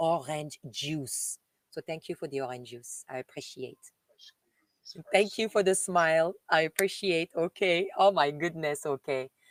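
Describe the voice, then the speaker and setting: In a French accent, a woman speaks at a fairly slow pace in a fairly low pitch, with ordinary pitch variation, big swings in loudness, and a dry, close sound with no echo. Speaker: live streamer reading messages to viewers.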